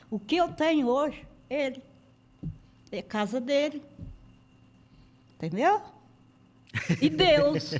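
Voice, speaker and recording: Very slowly and with long, frequent pauses, a woman speaks at a high pitch with very wide pitch swings. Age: 60s. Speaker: resident of a shelter home. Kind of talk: testimony.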